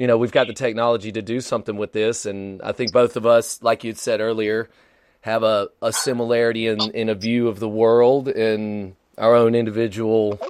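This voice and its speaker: A man talks at a moderate pace and medium pitch. The background is quiet. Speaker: podcast host and DJ. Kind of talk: casual chat. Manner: animated.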